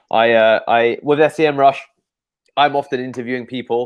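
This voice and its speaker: Here a man speaks with a London accent. He goes at a fairly quick pace. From England, London. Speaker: SEO agency owner. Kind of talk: interview on a live show. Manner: repetitive, halting with fillers.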